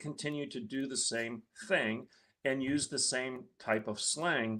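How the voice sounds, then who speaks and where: A man with an American accent, bright and sharp in tone, on a very clean recording with a silent background. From Michigan, rural blue-collar. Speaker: guest commentator. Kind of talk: political commentary talk.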